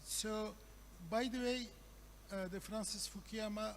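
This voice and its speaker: Against noticeable background noise and audible room echo, a man speaks with a Turkish accent. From Turkey. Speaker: professor. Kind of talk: conference talk. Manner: halting, many fillers.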